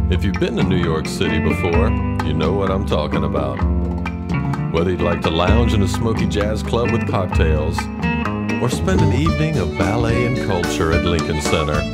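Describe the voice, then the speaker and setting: A man at a moderate pace, loud music in the background. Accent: American. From American South. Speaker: voice actor. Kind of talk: public service announcement, promotional narration. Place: studio.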